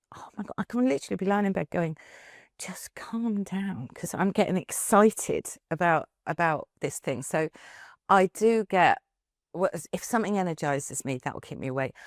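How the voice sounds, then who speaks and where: A woman with a normal speaking voice, medium pitch, lively intonation and a moderate pace, in a very clean recording with a silent background and a dry, close sound with no echo. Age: 60s. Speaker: business founder and CEO. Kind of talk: podcast interview. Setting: studio sofa.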